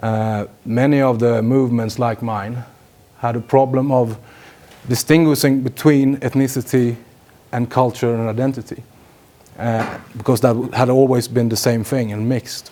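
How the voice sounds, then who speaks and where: Long, frequent pauses break up this flat, monotone delivery in a Swedish accent. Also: man, medium pitch for a man, moderate pace. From Sweden. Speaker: politician. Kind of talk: lecture. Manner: halting, many fillers.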